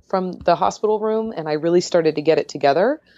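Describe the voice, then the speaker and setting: Against a quiet background, a woman speaks with an American accent and lively intonation. She has an ordinary speaking voice at a fairly low pitch. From San Diego, California. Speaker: runner and diabetes blogger. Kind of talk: interview.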